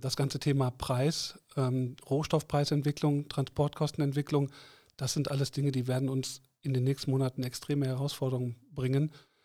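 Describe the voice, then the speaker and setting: This man's intonation is flat and monotone. He moves at a fairly quick pace. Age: 50s. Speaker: board member of a trade association. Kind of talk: interview. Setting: studio.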